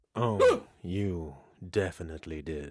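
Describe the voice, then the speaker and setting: This is a put-on character voice delivered at a fairly slow pace. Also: man, very deep, low pitch for a man. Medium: audio drama. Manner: smug, sardonic.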